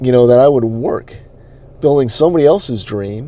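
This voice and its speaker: A man talks with a slight New England accent. His pace is moderate. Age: 40s. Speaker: online marketing coach. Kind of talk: personal story. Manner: halting.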